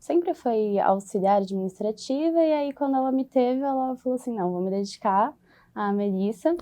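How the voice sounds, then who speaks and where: The woman talks at a moderate pace. Her pitch variation is ordinary. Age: 20s. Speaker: HR supervisor, former student. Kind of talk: podcast interview. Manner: hesitant, with fillers.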